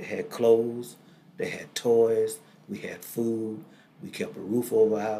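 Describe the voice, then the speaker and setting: Amid audible room echo, a man at medium pitch speaks at a fairly slow pace with fairly even intonation and big swings in loudness. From US South, Greenville, Mississippi. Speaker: pastor. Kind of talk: interview, life story testimony. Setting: studio.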